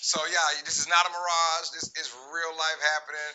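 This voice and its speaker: There is noticeable background noise as a man with an American accent speaks at a moderate pace. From Louisiana, Lake Charles. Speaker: sports podcast host. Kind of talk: casual chat. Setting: live stream, in person at home. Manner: loud; animated.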